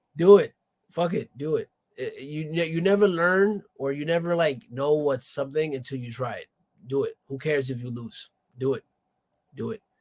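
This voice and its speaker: An animated man speaks at a moderate pace with a fairly high pitch and ordinary pitch variation. His loudness swings widely, and the sound is dry and close with no echo. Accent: American. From New York City, Dominican family. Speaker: rapper. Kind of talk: casual interview chat.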